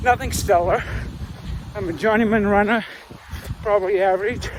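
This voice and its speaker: Noticeable background noise runs under a man's high voice, which varies in pitch in an ordinary way. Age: 60s. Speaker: amateur ultramarathon runner, video blogger. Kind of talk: casual monologue to camera. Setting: recorded outdoors while running. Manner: hesitant, many filler uhs.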